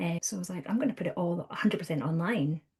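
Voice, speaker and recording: A somewhat breathy woman with a Scottish accent, fairly low in pitch, against a quiet background. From Scotland. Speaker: counsellor and trainer. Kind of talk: podcast interview. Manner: conversational, many fillers.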